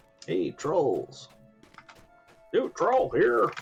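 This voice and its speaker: Faint music plays in the background behind a put-on character voice. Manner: mock, attempted impression.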